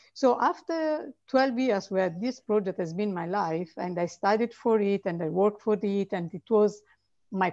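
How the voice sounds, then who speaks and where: There is a quiet background as a woman speaks at a fairly slow pace. Her intonation is lively. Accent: Italian. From Italy. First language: Italian. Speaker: author; guest. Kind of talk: interview. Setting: video call. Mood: reflective, earnest. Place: home room. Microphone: video call.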